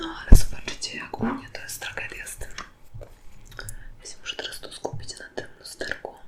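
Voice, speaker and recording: A woman's whispering at a fairly quick pace, with big swings in loudness, long, frequent pauses and noticeable background noise. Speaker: ASMR creator. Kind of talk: ASMR makeup product test, casual talk to camera.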